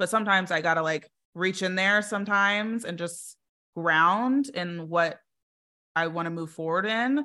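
Recorded very cleanly against a silent background, a woman talks at a moderate pace in a bright, sharp tone, her medium pitch showing ordinary variation. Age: 30s. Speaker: business strategist. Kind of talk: interview.

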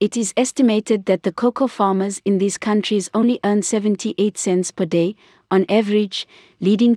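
Recorded very cleanly against a silent background, a woman with a medium pitch and a dark, mellow tone speaks at a moderate pace with fairly even intonation. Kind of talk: news reading, scripted industry newscast. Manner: formal, steady, neutral newsreader pace.

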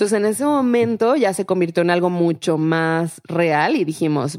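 A normal speaking voice carries ordinary pitch variation. The recording is very clean, with a silent background. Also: woman. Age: 30s. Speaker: startup founder. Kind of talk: interview.

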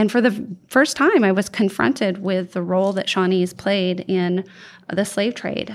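Using a plain, everyday voice, a woman with an American accent talks at a fairly slow pace with a medium pitch and ordinary pitch variation. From Oregon, US. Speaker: museum educator. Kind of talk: interview conversation.

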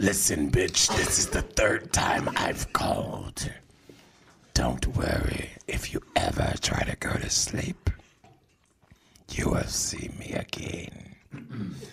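A put-on character voice from a man, raspy and fairly low in pitch, at a very slow pace. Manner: menacing, threatening.

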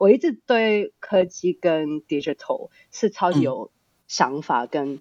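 A woman talks fairly slowly in a non-native accent. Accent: non-native Mandarin, accented. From Australia (born Hong Kong). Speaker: startup founder and CEO. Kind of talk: interview. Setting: remote online recording.

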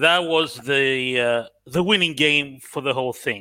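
A man with a slight Australian accent speaks at a very slow pace with a fairly high pitch and ordinary pitch variation. His tone is bright and sharp on a very clean recording with a silent background. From Cyprus. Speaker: guest fan joining a live football podcast. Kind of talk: casual conversational.

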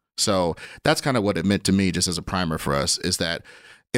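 Recorded very cleanly over a silent background, a man with an American accent sounds dry and close, with no echo. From Kansas City, US Midwest. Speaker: comedian. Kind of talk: casual chat.

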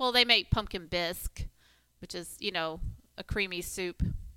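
Bright and sharp in tone, a woman speaks at a moderate pace and medium pitch with ordinary pitch variation, recorded dry and close with no echo. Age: 40s. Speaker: podcast co-host and gym coach. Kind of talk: casual chat. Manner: laughs often.

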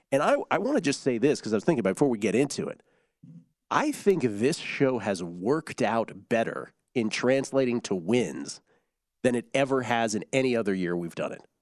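An ordinary speaking voice carries lively intonation against a quiet background. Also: man, medium pitch for a man, fairly quick pace. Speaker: sports betting radio host. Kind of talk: casual sports betting talk show.

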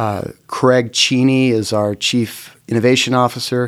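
In a normal speaking voice, a man talks at a fairly slow pace. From Oklahoma, Norman. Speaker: company CEO, former attorney. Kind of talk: interview.

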